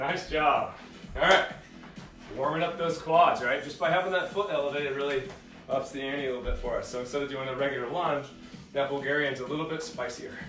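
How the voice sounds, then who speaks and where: Audible room echo and faint music in the background accompany a man speaking at a fairly quick pace with ordinary pitch variation. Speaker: fitness instructor. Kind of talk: workout instruction. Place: home room. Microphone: camera far.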